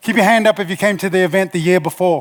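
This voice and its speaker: A man talks very fast in a high voice with a New Zealand accent. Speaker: motivational speaker, former rugby player. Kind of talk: conference talk. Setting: stage with audience.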